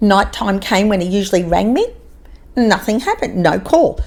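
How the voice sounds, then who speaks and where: A woman, at a moderate pace, talks with an Australian accent. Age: 60s. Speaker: podcaster. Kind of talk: casual chat. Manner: animated.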